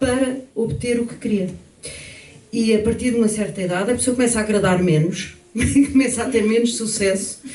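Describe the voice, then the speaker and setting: The speech moves at a fairly quick pace with fairly even intonation. Noticeable background noise and audible room echo fill the recording. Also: woman. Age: 70s. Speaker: pianist and panel participant. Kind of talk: panel discussion.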